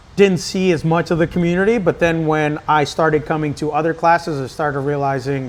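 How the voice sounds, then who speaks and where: A man with an ordinary speaking voice talks at a fairly high pitch. His pace is moderate and his pitch variation ordinary. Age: 30s. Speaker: CrossFit coach. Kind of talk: casual chat.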